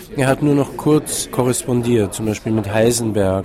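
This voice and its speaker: Over noticeable background noise, a man speaks at medium pitch with ordinary pitch variation. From Vienna, Austria. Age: 60s. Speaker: writer. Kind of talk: interview. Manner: halting, many fillers.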